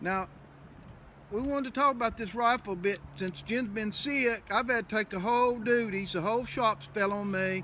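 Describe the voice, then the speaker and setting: Raising and projecting his voice, a man with an American accent speaks at a moderate pace with a high pitch, ordinary pitch variation and a bright, sharp tone. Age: 60s. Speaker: knife and gun maker. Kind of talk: casual chat. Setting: workshop.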